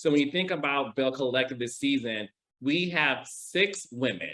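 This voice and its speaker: This man has a slight Midwestern accent. His pitch is fairly high, with ordinary variation. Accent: slight Midwestern twang. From US Midwest, Detroit, Michigan. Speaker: TV producer. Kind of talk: interview.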